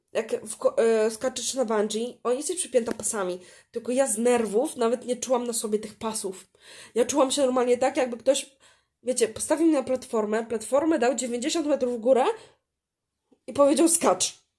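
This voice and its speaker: A woman speaks at a moderate pace in a high voice with ordinary pitch variation, big swings in loudness, and long, frequent pauses. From Poland. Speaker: podcaster. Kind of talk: personal monologue. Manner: halting.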